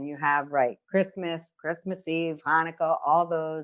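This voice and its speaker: A woman with a New York accent at a fairly slow pace, on a very clean recording with a silent background. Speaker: nurse, kidney stone diet educator. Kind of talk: podcast chat, health advice. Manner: animated, conversational.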